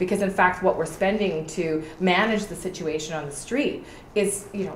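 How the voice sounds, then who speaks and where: Speaking with a Canadian accent at a moderate pace, a woman uses a passionate tone and a medium pitch with ordinary variation, amid noticeable background noise and audible room echo. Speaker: political candidate. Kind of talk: interview.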